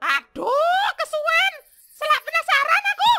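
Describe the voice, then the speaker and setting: A cartoonish character voice, squeaky and extremely high in pitch, with very wide pitch swings. The pace is fairly slow. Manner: brash.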